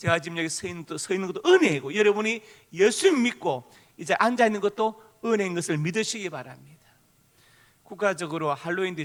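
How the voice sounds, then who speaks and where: Speaking with a strong Gyeongsang accent, a man has a high pitch and lively intonation. His pace is fairly quick. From Gyeongsang Province, South Korea. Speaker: pastor. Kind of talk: sermon. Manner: forceful intonation that can sound angry.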